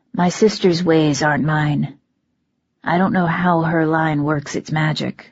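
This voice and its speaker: Someone puts on a character voice at a fairly slow pace and a middle pitch. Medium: read story. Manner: calm, commanding, practical.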